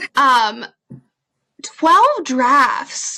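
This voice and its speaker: This woman's high-pitched voice is raised and projected, swinging very widely in pitch. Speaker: podcast host. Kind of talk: casual interview. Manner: halting, stuttering.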